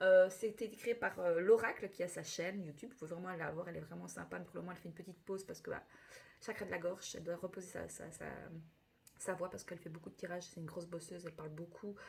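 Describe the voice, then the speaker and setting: Very fast and showing vocal fry, a woman speaks at a fairly low pitch with big swings in loudness. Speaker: tarot reader. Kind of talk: astrology reading. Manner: animated.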